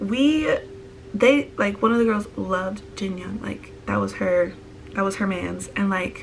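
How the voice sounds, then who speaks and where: A woman speaks at a fairly slow pace, with noticeable background noise and audible room echo. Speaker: vlogger. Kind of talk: casual vlog storytime.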